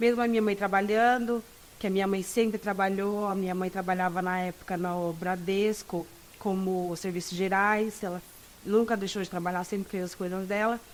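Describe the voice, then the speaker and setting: This woman talks at a medium pitch with a monotone, flat intonation. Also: moderate pace. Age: 20s. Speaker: law student. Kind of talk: interview.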